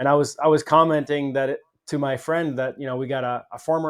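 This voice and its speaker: Fairly high-pitched male speech with a normal speaking voice, a fairly quick pace, ordinary pitch variation and a quiet background. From Canada. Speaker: podcast host. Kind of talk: interview conversation.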